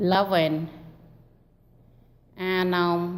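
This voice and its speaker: A woman speaks at a medium pitch in a non-native accent. There is audible room echo. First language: not English. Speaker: recovery group member sharing. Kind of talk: testimony. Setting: meeting hall. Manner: halting.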